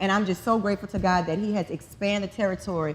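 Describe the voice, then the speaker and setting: On a very clean recording with a silent background, a woman with a New Orleans accent talks at a fairly quick pace in a medium-pitched voice with ordinary pitch variation. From New Orleans, Louisiana. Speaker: model and makeup artist. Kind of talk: conference talk.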